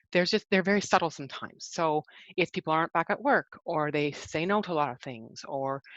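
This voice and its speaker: Over a quiet background, a woman with a very deep, low pitch talks very fast with ordinary pitch variation, the sound dry and close with no echo. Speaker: rehabilitation presenter on brain injury. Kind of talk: webinar presentation. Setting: online webinar.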